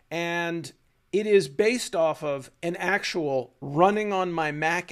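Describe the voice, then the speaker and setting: With a normal speaking voice, a man talks at a fairly high pitch and with lively intonation. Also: very clean recording, silent background. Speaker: tech educator and video host. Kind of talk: casual explainer monologue. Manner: conversational, with fillers.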